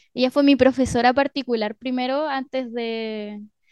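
A woman with an unremarkable speaking voice talks at a moderate pace, her pitch fairly high and her intonation fairly even. The sound is dry and close with no echo, over a quiet background. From northern Chile (Arica, Mejillones). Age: 20s. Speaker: composer and musician. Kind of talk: radio interview. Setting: radio studio.

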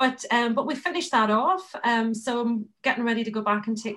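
A woman speaks with a Northern Irish accent. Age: 40s. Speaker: interior designer. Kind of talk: casual chat.

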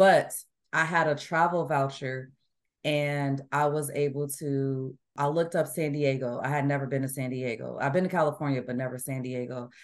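With an American accent, this woman talks at a moderate pace in a very deep, low voice, keeping her intonation fairly even. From US Midwest. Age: 40s. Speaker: amateur runner. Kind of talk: casual interview. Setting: remote call.

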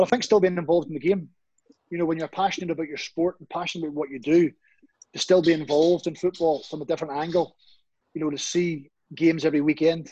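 Fairly high-pitched for a man, this speaker has a Northern Irish accent and a dark, mellow tone. He talks at a very fast pace with big swings in loudness. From Northern Ireland, Comber near Belfast. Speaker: football pundit, ex-professional footballer. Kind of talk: interview. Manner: animated.

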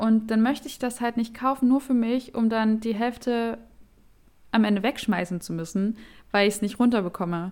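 With an unremarkable speaking voice, a woman speaks at a moderate pace, fairly high in pitch with ordinary pitch variation, on a very clean recording with a silent background. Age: 20s. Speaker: podcast co-host. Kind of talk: casual chat.

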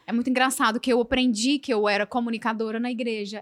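Her pace is fairly quick and her intonation fairly even. This woman speaks at a fairly high pitch. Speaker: podcast host. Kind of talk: casual chat. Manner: fast.

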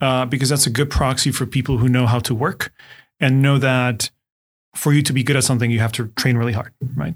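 A man with a Czech accent talks at a medium pitch. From Czech Republic, Ostrava. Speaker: startup CEO. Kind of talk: interview.

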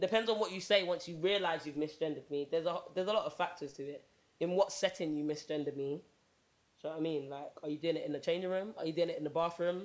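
A woman's fairly low pitch at a very fast pace, with fairly even intonation. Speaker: podcast co-host.

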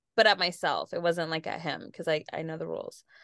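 Against a quiet background, a normal speaking voice with an American accent moves at a fairly quick pace with fairly even intonation, the sound dry and close with no echo. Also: woman. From San Diego, California. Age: 30s. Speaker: podcast co-host. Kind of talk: casual chat.

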